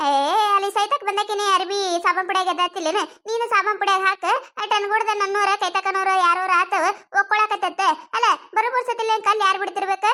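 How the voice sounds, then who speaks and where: A woman uses a cartoonish character voice at an extremely high pitch, with monotone, flat intonation. She speaks at a moderate pace with very even loudness. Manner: combative, sarcastic.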